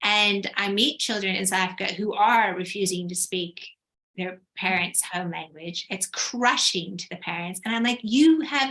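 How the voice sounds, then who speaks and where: A woman speaks at a medium pitch and a moderate pace, in an unremarkable speaking voice. Her intonation is lively. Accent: American. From United States. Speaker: writer. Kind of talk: panel discussion.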